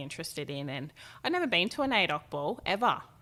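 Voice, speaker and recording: A woman's bright, sharp voice with an Australian accent at a very fast pace, on a very clean recording with a silent background. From Australia, Gold Coast / Tweed Heads. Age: 20s. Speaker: fashion model. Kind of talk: interview. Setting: office.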